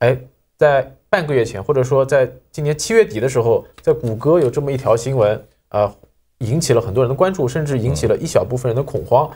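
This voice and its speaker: A man's somewhat breathy voice, medium in pitch with ordinary pitch variation, dark and mellow in tone, at a fairly quick pace. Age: young. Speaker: magazine editor, sci-fi fan; program host. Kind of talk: casual panel discussion. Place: studio.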